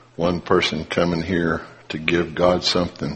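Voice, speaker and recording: With monotone, flat intonation, a man's very deep, low voice comes through over noticeable background noise. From Appalachia (coal country). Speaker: lay preacher. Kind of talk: sermon.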